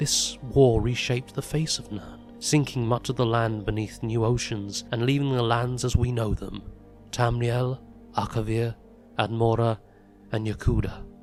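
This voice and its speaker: Over music in the background, a man speaks at a moderate pace in a medium pitch with monotone, flat intonation. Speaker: voice actress. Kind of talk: fantasy lore reading.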